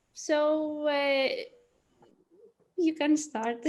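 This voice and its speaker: Speaking with a non-native accent, a woman uses a high pitch. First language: not English. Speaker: webinar moderator. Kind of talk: event moderation. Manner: halting, hesitant.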